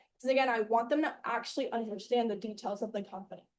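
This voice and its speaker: This woman has a fairly high pitch and a dark, mellow tone. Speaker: sales team trainer. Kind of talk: training session. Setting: room with live group and Zoom. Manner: fast.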